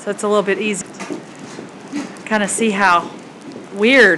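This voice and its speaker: A woman speaks at a medium pitch and a fairly slow pace. Noticeable background noise runs behind her. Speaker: video blogger. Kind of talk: casual chat. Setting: outdoors.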